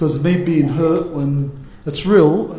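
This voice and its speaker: A man at a fairly slow pace amid noticeable background noise. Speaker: church speaker on marriage panel. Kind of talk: panel Q&A discussion. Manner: loud; halting.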